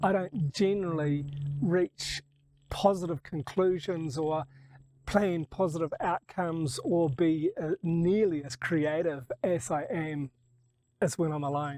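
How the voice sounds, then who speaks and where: At a fairly slow pace, a man talks in a high pitch. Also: ordinary pitch variation. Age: 60s. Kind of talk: reflective monologue to camera.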